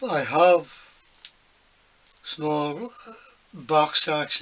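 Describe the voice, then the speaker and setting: The man's pitch shifts by an ordinary amount as he speaks. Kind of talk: casual workshop tip chat. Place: workshop. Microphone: phone near.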